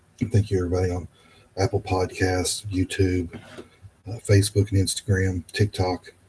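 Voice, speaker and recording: A man with a very deep, low pitch speaks in a somewhat breathy, monotone, flat way at a moderate pace. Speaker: podcast host. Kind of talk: podcast outro. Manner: hesitant, repetitive.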